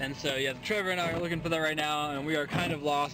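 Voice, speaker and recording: Amid loud background noise, a man talks at a fairly quick pace with a dry sound and no echo. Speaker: vlogger. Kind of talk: casual vlog chat. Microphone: phone near.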